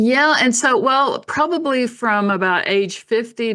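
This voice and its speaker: A woman with an American accent, a bright, sharp tone and lively intonation, against a quiet background. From Oklahoma. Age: 60s. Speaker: author and natural health teacher. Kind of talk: interview.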